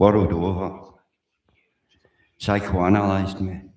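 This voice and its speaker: Speaking very slowly in a Glaswegian accent, a man uses a very deep, low pitch amid audible room echo. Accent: Glaswegian Scots. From Scotland, Glasgow. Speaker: livestreamer. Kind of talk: casual live stream monologue. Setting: live stream. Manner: rambling, repetitive.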